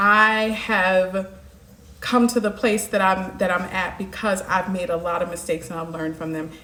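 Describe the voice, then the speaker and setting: Amid noticeable background noise and audible room echo, a woman speaks at a moderate pace with fairly even intonation. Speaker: life coach. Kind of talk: live stream monologue.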